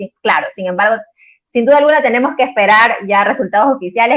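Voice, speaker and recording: Her pitch varying in an ordinary way, a woman speaks with an Ecuadorian accent. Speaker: interviewer, editor of a digital politics magazine. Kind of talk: live-streamed interview. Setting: live stream.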